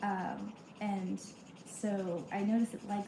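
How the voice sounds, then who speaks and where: A soft-spoken woman at a medium pitch, with noticeable background noise. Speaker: content creator livestreaming. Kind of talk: casual livestream chat.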